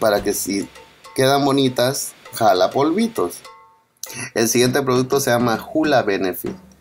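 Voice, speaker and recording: A man with a Central American accent at a medium pitch, fairly slow and with ordinary pitch variation, music playing behind him. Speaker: father doing comedic voiceover. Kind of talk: humorous makeup video voiceover. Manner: joking, playful.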